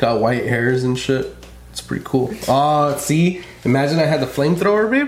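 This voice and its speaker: A man with an American accent and a fairly high pitch, ordinary pitch variation, a moderate pace, big swings in loudness, audible room echo and noticeable background noise. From California. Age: 30s. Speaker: podcast host. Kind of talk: casual chat. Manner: animated.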